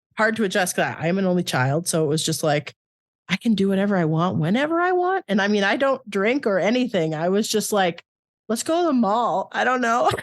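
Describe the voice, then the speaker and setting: An ordinary speaking voice from a woman, medium in pitch, with lively intonation, very even loudness and a fairly quick pace. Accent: Canadian. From Canada. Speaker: podcast co-host. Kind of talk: casual chat.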